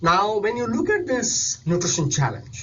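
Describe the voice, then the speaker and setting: The speaker is a man talking at a moderate pace. Audible room echo surrounds his voice. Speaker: nutrition specialist. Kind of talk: recorded presentation.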